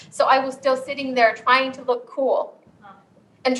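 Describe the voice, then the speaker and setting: At a moderate pace, a woman with a Southeast Asian accent speaks in a high pitch with monotone, flat intonation. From Saint Paul, Minnesota (Hmong family, born in Laos). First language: Hmong. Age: 40s. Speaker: author and storyteller. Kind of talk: storytelling talk. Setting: campus event with live audience.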